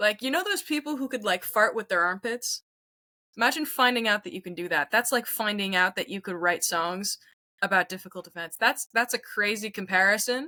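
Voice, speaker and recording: A woman with a Montreal accent, bright and sharp in tone, fairly high in pitch, with lively intonation at a fairly quick pace, in a dry, close sound with no echo. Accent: Montreal anglophone Canadian English. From Quebec, Canada. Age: 20s. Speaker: singer-songwriter. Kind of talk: casual interview chat.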